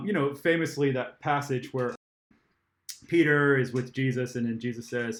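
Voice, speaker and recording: An unremarkable speaking voice from a man at medium pitch, with ordinary pitch variation and a moderate pace. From Germany, moved to US at six. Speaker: theologian. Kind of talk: interview conversation. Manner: casual, with fillers and repetitions.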